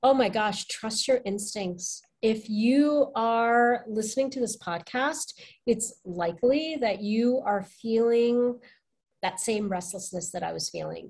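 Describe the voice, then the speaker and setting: Against a quiet background, a woman speaks at a very slow pace in a fairly high, somewhat breathy voice. Her pitch varies in an ordinary way. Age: 40s. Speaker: life coach. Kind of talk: casual chat.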